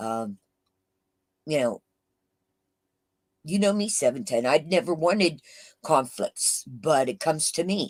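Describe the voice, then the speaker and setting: Loud and with very wide pitch swings, a woman's voice comes through in a dry, close sound with no echo. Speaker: YouTube livestreamer. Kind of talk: casual live chat. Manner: halting with fillers.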